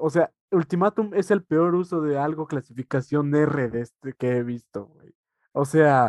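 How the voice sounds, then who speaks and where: Fairly slow and fairly high-pitched, a man speaks with a Mexican accent in a dry, close sound with no echo. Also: ordinary pitch variation. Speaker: podcast co-host. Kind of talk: casual chat.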